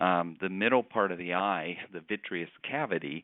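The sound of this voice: Here a man talks at a low pitch and a moderate pace. His pitch variation is ordinary.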